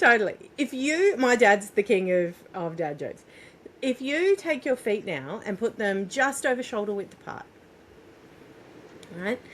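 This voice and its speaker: Fairly high-pitched female voice with very wide pitch swings, a fairly slow pace and long, frequent pauses, over noticeable background noise. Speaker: parenting coach and doula. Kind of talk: guided exercise in interview.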